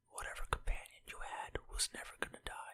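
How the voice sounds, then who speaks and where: Someone is whispering. The pace is moderate. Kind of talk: ASMR rambling collection talk. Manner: whispered.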